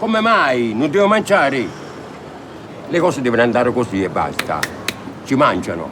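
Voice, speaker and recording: Lively intonation carries along at a moderate pace amid noticeable background noise and audible room echo. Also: man. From Naples, southern Italy. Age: 80s+. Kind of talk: street interview. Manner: animated.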